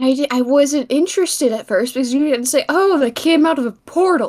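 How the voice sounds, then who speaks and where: A put-on character voice, female-sounding and high-pitched, at a fairly quick pace. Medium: machinima. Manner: earnest, interjecting.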